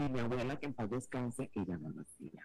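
A man speaks with very wide pitch swings and vocal fry. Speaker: radio presenter. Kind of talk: casual chat. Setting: radio link. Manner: animated.

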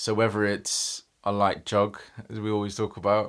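A London accent is heard. The recording is very clean and the background silent. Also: man. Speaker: life coach. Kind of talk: interview, casual chat.

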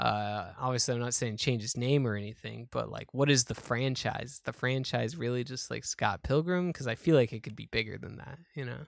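On a very clean recording with a silent background, a man with a plain, everyday voice speaks at a moderate pace and medium pitch, with ordinary pitch variation, big swings in loudness and hardly any pauses. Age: 20s. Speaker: podcast co-host. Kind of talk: casual chat.

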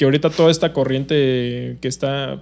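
A man with a Mexican accent speaks at a moderate pace, his medium pitch held in fairly even intonation. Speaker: podcast co-host. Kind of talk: casual chat.

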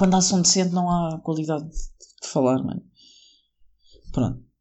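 A man's somewhat breathy voice with a European Portuguese accent, at a moderate pace. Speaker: solo podcaster. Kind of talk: casual monologue. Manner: rambling, halting.

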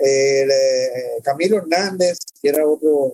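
With a Cuban accent, this man has a fairly high pitch and a dark, mellow tone, speaking with fairly even intonation in a dry, close sound with no echo. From Cuba (born in El Salvador, raised in Cuba). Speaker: documentary filmmaker. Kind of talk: interview conversation. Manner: halting, many fillers and repetitions.

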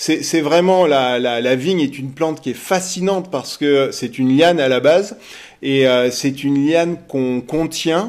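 Fairly slow speech from a man, fairly high in pitch, with ordinary pitch variation. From central France (Berry, Sancerre area). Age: 50s. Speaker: winery director. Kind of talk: interview. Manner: hesitant, many fillers.

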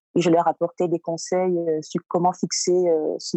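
A woman at a very slow pace and fairly low pitch. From Cameroon, Douala. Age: 30s. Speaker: data scientist and startup incubator founder. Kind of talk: casual interview.

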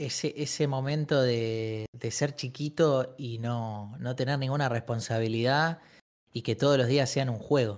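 Speaking slowly-ish in a normal speaking voice, a man holds a medium pitch and fairly even intonation on a very clean recording with a silent background. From Argentina, Buenos Aires. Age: 20s. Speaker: streamer. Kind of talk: casual chat.

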